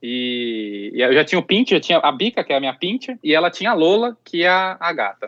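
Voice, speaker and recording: The pitch swings very widely from high to low. The delivery runs at a fairly quick pace with hardly any pauses. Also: man, high pitch for a man. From Campinas region, São Paulo interior, Brazil. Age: 30s. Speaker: pet influencer and content creator. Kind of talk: interview conversation.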